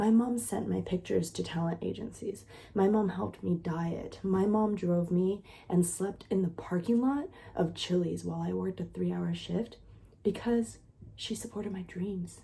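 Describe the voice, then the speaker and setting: Speaking quietly, a woman keeps a moderate pace. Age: 30s. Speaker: content creator and nanny. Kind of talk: casual vlog monologue. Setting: at home with sleeping child. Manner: animated.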